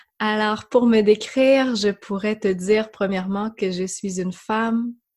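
A woman with a Quebec accent talks at a very slow pace and a fairly high pitch. Her voice is somewhat breathy, with fairly even intonation. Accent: Québécois. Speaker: yoga teacher. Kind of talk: interview conversation.

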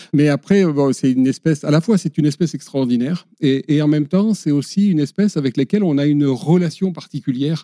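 Speaking very fast with hardly any pauses, a man with a fairly high pitch and a dark, mellow tone keeps his loudness very even, recorded dry and close with no echo in a very clean take over a silent background. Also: ordinary pitch variation. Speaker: conservation association director. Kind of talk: podcast interview. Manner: hesitant, with many fillers and repetitions.

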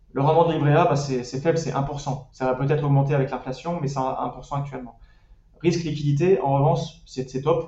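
Monotone and flat, a man's somewhat breathy voice sits at a fairly high pitch. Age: 30s. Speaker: personal finance website creator. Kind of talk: casual interview. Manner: hesitant with fillers.

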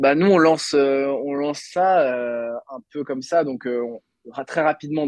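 Here a man talks in a plain, everyday voice with ordinary pitch variation. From Brittany, France (Lannion). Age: 20s. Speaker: entrepreneur. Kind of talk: interview.

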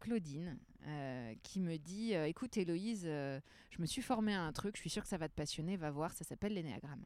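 A plain, everyday voice moves at a moderate pace with lively intonation. Recorded very cleanly, it sits over a silent background. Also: woman. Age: 30s. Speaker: trainer and therapist. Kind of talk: casual chat. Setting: outdoors in a bar garden.

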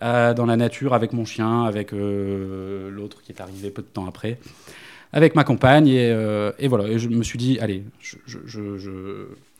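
Fairly slow and at a medium pitch, a man's voice shows fairly even intonation and big swings in loudness in a very clean recording with a silent background. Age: 30s. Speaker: dog trainer. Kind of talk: interview. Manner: halting.

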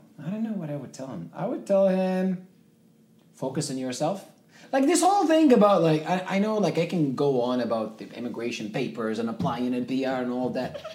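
A man with a North African accent speaks in a dark, mellow tone, his pitch swinging very widely. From Libya, Zwara. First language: Tamazight. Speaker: videographer and entrepreneur. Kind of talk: interview conversation.

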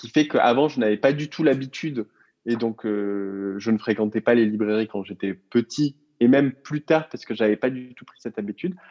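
Speaking at a moderate pace, a man has a medium pitch, a dark, mellow tone, and ordinary pitch variation. His loudness swings widely, and the sound is dry and close with no echo. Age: 30s. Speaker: co-founder of a book subscription box. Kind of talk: interview. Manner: hesitant with frequent fillers.

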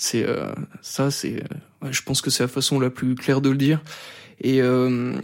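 The speaker is a man. His pitch is medium. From France, Savoie (rural). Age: 20s. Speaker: radio host, bullying survivor. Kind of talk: testimony interview. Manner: halting, many fillers and repetitions; articulate.

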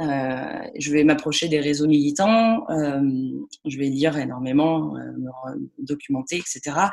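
Very slow speech from a woman, her pitch very deep and low, the pitch variation ordinary. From France, Lyon. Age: 30s. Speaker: music and contemporary art project manager. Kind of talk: interview. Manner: hesitant, many fillers and repetitions.

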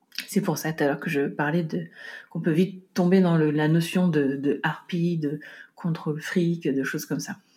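Her tone is dark and mellow. The woman sounds somewhat breathy on a very clean recording with a silent background. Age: 40s. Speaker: podcast host and home organization coach. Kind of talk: solo podcast monologue. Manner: halting, frequent repetitions and fillers.

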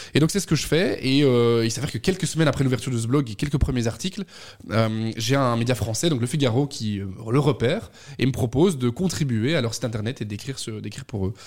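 At a very fast pace broken by long, frequent pauses, a man speaks somewhat breathily at medium pitch with ordinary variation, on a very clean recording with a silent background. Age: 20s. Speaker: communications agency head. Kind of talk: radio interview.

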